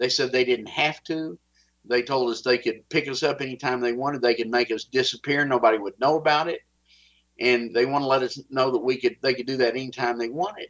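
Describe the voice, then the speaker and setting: With a Texas accent, a man speaks at medium pitch and a fairly quick pace, keeping his intonation fairly even. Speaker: whistleblower. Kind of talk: interview, personal account.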